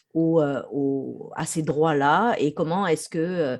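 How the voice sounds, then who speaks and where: Against a quiet background, a woman speaks at a very deep, low pitch with a dark, mellow tone. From France. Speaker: researcher. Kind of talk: interview.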